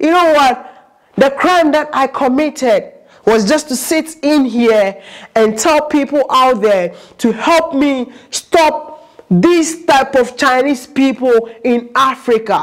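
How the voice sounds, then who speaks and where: Very slowly, a woman speaks in a high voice with ordinary pitch variation. Her loudness is very even, and the background is quiet. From Ghana. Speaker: YouTube vlogger. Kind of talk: vlog monologue. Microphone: lapel.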